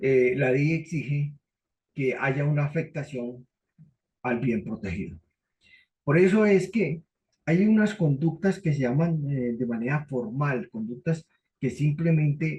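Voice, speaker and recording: Somewhat breathy and fairly high in pitch, a man speaks at a fairly slow pace with lively intonation and long, frequent pauses. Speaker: law lecturer. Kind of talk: lecture.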